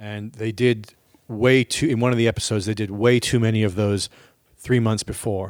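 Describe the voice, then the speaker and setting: An ordinary speaking voice at a moderate pace, fairly even in intonation, in a very clean recording with a silent background. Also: man, fairly low pitch for a man. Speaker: podcast host and touring musician. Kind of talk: casual chat.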